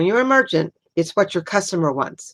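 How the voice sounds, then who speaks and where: A woman with a fairly low pitch speaks at a moderate pace with lively intonation. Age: 60s. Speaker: retail merchant and sales trainer. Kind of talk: workshop talk.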